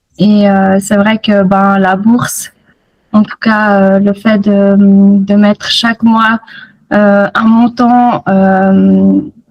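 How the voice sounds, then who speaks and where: A woman's very slow, somewhat breathy voice at medium pitch, monotone and flat, with very even loudness. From Switzerland, Fribourg region. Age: 30s. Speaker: nurse, program student. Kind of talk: interview testimony. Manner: hesitant, many fillers.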